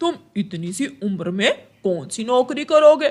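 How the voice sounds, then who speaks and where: This is a cartoonish character voice pitched fairly high. Its pitch swings very widely. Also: moderate pace. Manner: gruff, bullying.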